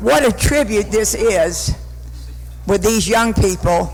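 Audible room echo surrounds the voice. A man with an American accent speaks fairly slowly. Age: 70s. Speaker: city council member. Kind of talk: public meeting remarks. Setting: city council meeting.

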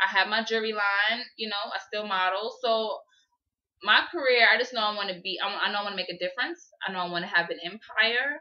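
The background is quiet. A woman speaks at a fairly quick pace with ordinary pitch variation. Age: 20s. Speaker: YouTube vlogger. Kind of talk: casual chat. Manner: animated. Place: home room. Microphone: webcam.

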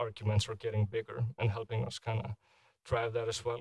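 A man speaks with an Icelandic accent, somewhat breathy. The sound is dry with no echo. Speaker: product manager; presenter. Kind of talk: conference talk. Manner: halting. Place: hall.

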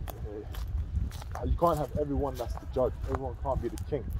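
Noticeable background noise sits behind a man's voice. He speaks at a moderate pace with very wide pitch swings. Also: dry sound with no echo. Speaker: religious group member reading scripture. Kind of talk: casual bible study discussion. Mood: earnest, reflective. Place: open country. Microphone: phone near.

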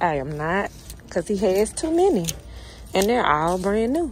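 A woman speaks at a fairly slow pace over light background noise, her voice dry with no echo. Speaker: vlogger shopping. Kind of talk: casual vlog chat. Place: shop. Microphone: phone near.

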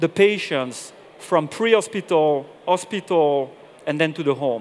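A man talks with a French accent. His pace is fairly slow. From southern France. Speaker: corporate general manager; presenter. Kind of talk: conference talk. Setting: stage with audience. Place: stage. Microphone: headset.

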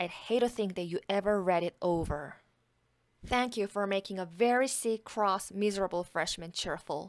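A woman's unremarkable speaking voice, medium in pitch with ordinary pitch variation, at a moderate pace in a very clean recording with a silent background. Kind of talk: literary audiobook reading of an epistolary novel.

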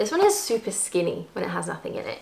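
At a moderate pace, a woman talks with a British accent. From UK. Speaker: fashion YouTuber. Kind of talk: casual chat. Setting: at home. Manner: soft-spoken; rambling. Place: home room.

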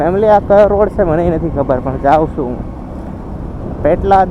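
A man's pitch shifts in an ordinary way while noticeable background noise is heard behind him. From Gujarat, Bhavnagar district (Saurashtra). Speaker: motovlogger. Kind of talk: vlog narration. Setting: outdoors on a motorbike.

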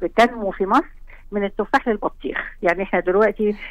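A woman speaks at a fairly quick pace in a dry sound with no echo over a quiet background. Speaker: caller. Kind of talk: interview answer. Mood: enthusiastic, warm. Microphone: phone line.

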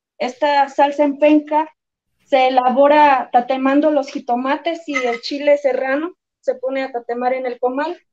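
The speech moves at a fairly slow pace with monotone, flat intonation. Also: woman. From Mexico, Guanajuato. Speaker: chef; presenter. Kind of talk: cooking demonstration. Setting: restaurant kitchen. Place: kitchen. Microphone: camera far.

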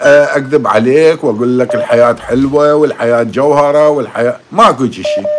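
A man with an Iraqi accent over light background noise. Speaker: YouTube commentator. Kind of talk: monologue, commentary on politics. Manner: animated, emotional. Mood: earnest, critical. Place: home room.

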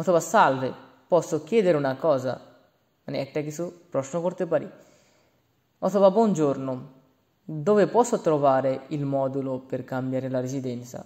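A man's fairly high-pitched voice with ordinary pitch variation, a plain, everyday voice. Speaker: language teacher. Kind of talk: lecture.

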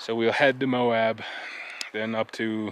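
Here a man speaks in a monotone, flat way. The sound is dry, with no echo. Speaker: travel vlogger. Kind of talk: casual vlog chat. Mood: relaxed, reflective. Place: open country. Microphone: phone near.

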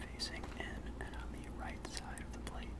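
Whispered words come at a moderate pace against noticeable background noise. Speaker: ASMR video creator. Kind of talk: ASMR etiquette lesson. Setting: close-mic recording, ASMR style. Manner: whispered, soft-spoken.

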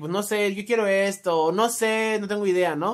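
With a Mexican accent, a woman talks at a moderate pace in an animated tone with ordinary pitch variation over a quiet background. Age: 20s. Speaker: YouTuber; vlogger. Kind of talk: storytime monologue. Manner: casual, animated. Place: home room. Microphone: phone near.

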